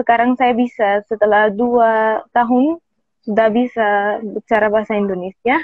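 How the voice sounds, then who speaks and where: A woman with an Arabic accent, fairly high pitch, fairly even intonation and a fairly slow pace. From Egypt. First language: Arabic (speaking Indonesian). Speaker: native speaker guest, Indonesian learner. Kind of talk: interview conversation. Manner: halting, with hesitations.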